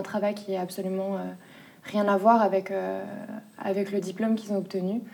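Speaking at a very fast pace, the woman keeps to a medium pitch. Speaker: junior notary office employee. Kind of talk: documentary interview. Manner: hesitant, many filler sounds.

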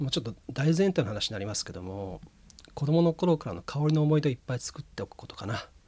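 A man speaks very fast in a somewhat breathy, fairly high voice with a dark, mellow tone, his pitch swinging very widely and his loudness rising and falling a lot. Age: 40s. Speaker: incense ceremony school heir. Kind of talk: radio interview.

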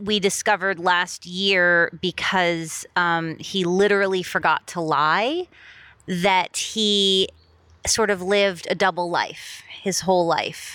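At a very slow pace, a woman speaks at medium pitch in a monotone, flat way. The recording is very clean, with a silent background. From Miami, US. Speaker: TV writer. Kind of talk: casual interview chat.

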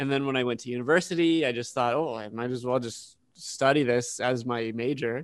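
A man speaks in a normal speaking voice at medium pitch, keeping his intonation fairly even. His pace is fairly quick, with hardly any pauses. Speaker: podcast co-host. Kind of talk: casual chat.

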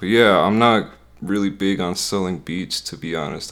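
A man speaks with an American accent and lively intonation. His very deep, low pitch carries vocal fry. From US Midwest. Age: 20s. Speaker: music producer and YouTuber.

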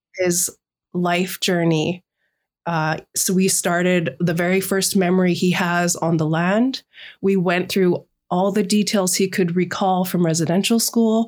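Medium in pitch, a woman speaks at a fairly slow pace with fairly even intonation. Her loudness stays very even. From Canada, British Columbia Sunshine Coast. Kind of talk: interview. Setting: remote call.

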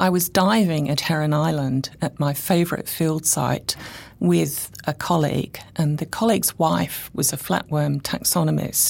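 A woman with an English accent speaks fairly slowly in a very deep, low voice with ordinary pitch variation, on a very clean recording with a silent background. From England. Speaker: chemistry professor. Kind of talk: interview.

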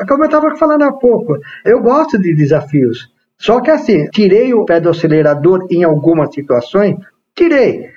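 This man has a high pitch with very wide swings. He keeps a moderate pace and very even loudness. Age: 50s. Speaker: entrepreneur and investment agent. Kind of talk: interview.

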